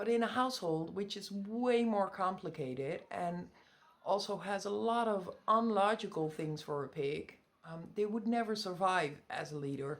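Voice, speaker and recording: A woman with a Dutch accent, medium in pitch, with lively intonation at a moderate pace. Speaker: pet pig owner. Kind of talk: tutorial. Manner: halting.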